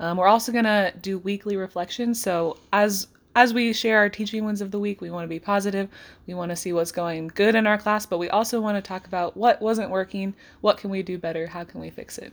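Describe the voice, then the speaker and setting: A woman talks in a normal speaking voice at a fairly quick pace, her pitch medium and intonation fairly even. Her loudness swings a lot, and the recording is very clean with a silent background. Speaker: high school English teacher and podcast co-host. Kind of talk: casual chat.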